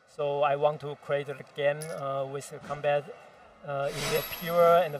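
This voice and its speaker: With music in the background, a man with a non-native accent speaks fairly slowly in a monotone, flat delivery at a fairly high pitch. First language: not English. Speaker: game developer. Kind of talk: game presentation interview. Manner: halting, many fillers.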